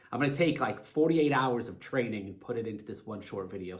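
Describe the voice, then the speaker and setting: The speech comes at a very fast pace. Audible room echo surrounds it. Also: man. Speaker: life coach. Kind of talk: motivational talk to camera. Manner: animated.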